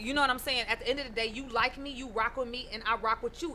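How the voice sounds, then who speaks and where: A woman talks at a very fast pace with an American accent. Her tone is animated, and there is noticeable background noise. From northern US. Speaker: radio co-host. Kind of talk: casual chat.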